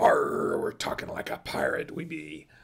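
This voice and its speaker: Raspy and at a moderate pace, a man performs a put-on character voice. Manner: jokey, exaggerated.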